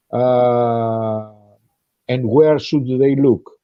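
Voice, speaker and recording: Speaking very slowly, a man with a medium pitch talks in a Greek accent. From Greece. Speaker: podcast guest. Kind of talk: casual discussion. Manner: halting, many fillers.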